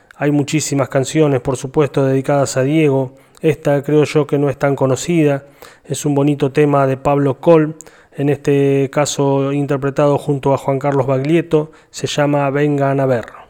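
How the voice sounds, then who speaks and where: A man's fairly high voice, flat and monotone, at a moderate pace over noticeable background noise. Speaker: radio host. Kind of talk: radio show narration.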